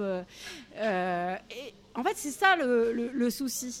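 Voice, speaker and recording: A woman's voice with a fairly high pitch. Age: 40s. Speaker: activist. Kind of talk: interview. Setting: café. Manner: halting, many fillers.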